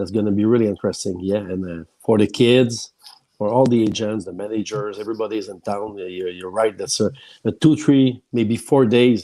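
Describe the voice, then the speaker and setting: Speaking at a fairly quick pace with a Quebec accent, a man uses a fairly low pitch and ordinary pitch variation. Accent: French-Canadian accent in English. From Quebec, Shawinigan. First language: French. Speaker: hockey journalist. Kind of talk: casual chat. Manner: halting.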